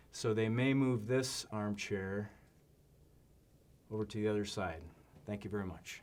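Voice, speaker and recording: With fairly even intonation and a fairly low pitch, a man speaks using long, frequent pauses. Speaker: presenter practicing on camera. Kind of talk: practice presentation on camera. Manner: varying loudness deliberately; monotone.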